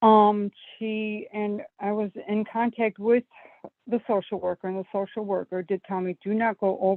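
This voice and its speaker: A woman with an American accent talks at a medium pitch and a moderate pace. Her intonation is monotone and flat. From US Northeast (Buffalo, New York). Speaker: caller. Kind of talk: phone-in advice call. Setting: phone call. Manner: hesitant, many fillers.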